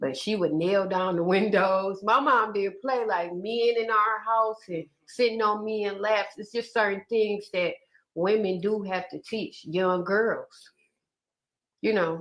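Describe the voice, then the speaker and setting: A woman speaks at a very slow pace with a slight Southern US accent, her pitch medium and her pitch variation ordinary. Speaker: live streamer interviewing a guest. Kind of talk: casual interview chat.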